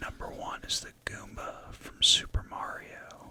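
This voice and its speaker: Noticeable background noise sits under a whispered voice. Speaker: ASMR content creator. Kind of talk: ASMR whispered rambling, casual talk to camera. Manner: whispered, rambling, casual.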